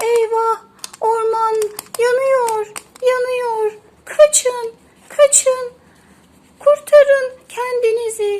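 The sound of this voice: Using a put-on character voice, a woman talks very slowly at an extremely high pitch, with fairly even intonation and a slightly mellow tone.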